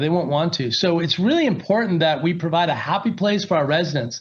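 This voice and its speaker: Over audible room echo, a man with an American accent speaks fairly quickly at a high pitch, his intonation lively. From US Pacific Northwest (Seattle), teens in Las Vegas. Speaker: company executive, guest speaker. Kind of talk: guest lecture. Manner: conversational, filler-heavy.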